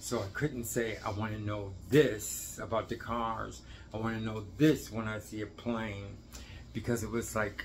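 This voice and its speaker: A man speaks in a fairly low voice, somewhat breathy, with fairly even intonation. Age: 60s. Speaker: dance teacher, video blogger. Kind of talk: casual monologue to camera. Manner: halting, rambling with self-corrections.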